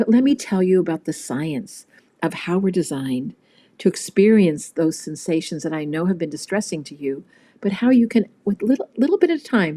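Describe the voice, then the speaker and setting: A woman speaks at a medium pitch with a dark, mellow tone. Her intonation is lively. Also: moderate pace, very clean recording, silent background. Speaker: trauma clinician and author. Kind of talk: interview conversation. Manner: calm, gentle.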